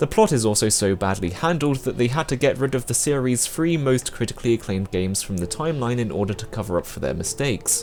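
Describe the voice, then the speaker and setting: Over music in the background, a man at medium pitch talks at a very fast pace with lively intonation and hardly any pauses. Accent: British. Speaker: video game reviewer. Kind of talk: scripted review narration.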